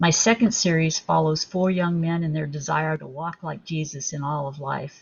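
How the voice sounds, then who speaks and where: At a moderate pace, a woman with a very deep, low voice speaks somewhat breathily with fairly even intonation. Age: 70s. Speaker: author. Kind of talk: interview.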